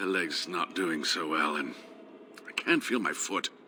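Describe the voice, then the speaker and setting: Putting on a character voice, a man sounds raspy with a very deep, low pitch at a moderate pace over clear background noise. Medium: video game. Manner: wry, self-deprecating.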